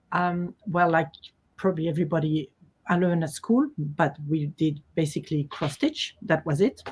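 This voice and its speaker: A woman with a French accent speaks at a fairly low pitch with ordinary pitch variation, a somewhat breathy voice and very even loudness. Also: moderate pace. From Switzerland, Geneva (French-speaking). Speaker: quilt designer. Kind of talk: interview.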